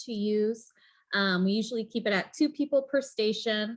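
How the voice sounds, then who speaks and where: Heard at a moderate pace in an American accent is an ordinary speaking voice with ordinary pitch variation. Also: woman, very clean recording, silent background. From rural Nebraska. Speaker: librarian, workshop presenter. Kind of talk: conference presentation. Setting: workshop.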